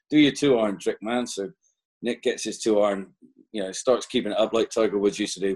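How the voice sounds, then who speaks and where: A West Country accent in a dry, close sound with no echo. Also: man. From West Country, England. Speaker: podcast co-host, golfer. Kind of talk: casual chat. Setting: video call.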